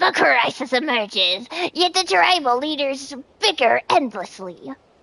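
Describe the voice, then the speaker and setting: A woman puts on a character voice with a high pitch. She delivers it at a moderate pace. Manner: weird.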